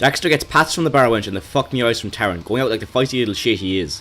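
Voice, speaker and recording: Speaking very fast with an Irish accent, a man uses a medium pitch and very wide pitch swings over music in the background. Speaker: video game reviewer. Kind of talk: scripted narration.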